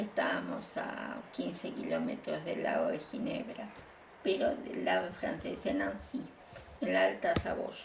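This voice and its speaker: Fairly slow speech from a woman, amid noticeable background noise and audible room echo. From Bolivia and Uruguay, Spanish-born exile. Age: 70s. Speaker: exile interviewee. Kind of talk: interview testimony. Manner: halting, frequent fillers.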